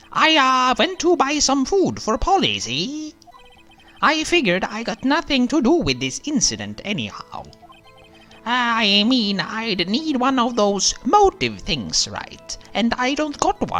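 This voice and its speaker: A man puts on a character voice at an extremely high pitch and a fairly slow pace. Faint music plays in the background. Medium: game stream. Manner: ungrammatical, mumbling.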